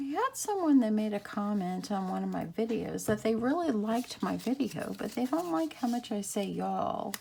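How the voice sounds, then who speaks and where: Speaking with an American accent, a woman keeps a moderate pace with hardly any pauses. Noticeable background noise runs underneath. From Texas. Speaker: craft YouTuber. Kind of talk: craft tutorial. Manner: casual, chatty.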